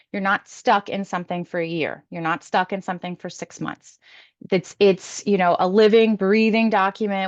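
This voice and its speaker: At a fairly quick pace, a woman with a plain, everyday voice speaks at medium pitch with fairly even intonation, the sound dry and close with no echo against a quiet background. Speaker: support coordinator. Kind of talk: presentation.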